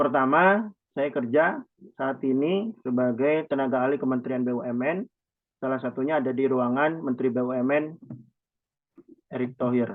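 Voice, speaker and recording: Speaking at medium pitch and a moderate pace, a man leaves long, frequent pauses. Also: ordinary pitch variation. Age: 20s. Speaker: youth organization chairman. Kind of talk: presentation in online meeting.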